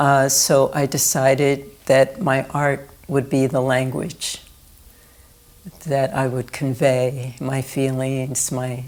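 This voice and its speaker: Speaking very slowly with fairly even intonation, a woman with an American accent has a very deep, low pitch. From US East Coast, Philadelphia. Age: 60s. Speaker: artist. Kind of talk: oral history interview. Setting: indoor recording room.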